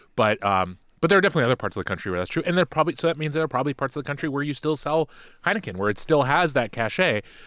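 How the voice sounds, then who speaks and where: A man speaks at a very fast pace with a fairly high pitch, vocal fry and very wide pitch swings. The sound is dry and close, with no echo. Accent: American. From Seattle, US Pacific Northwest. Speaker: guest, returning. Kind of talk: casual chat over beers. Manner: dry, sarcastic.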